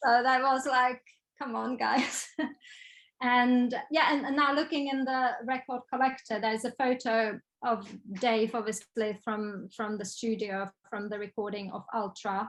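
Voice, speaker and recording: Speaking at a fairly slow pace, a woman with a Czech accent has a fairly high pitch and ordinary pitch variation. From Czech Republic. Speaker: photographer and designer. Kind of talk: interview. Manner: hesitant, many fillers.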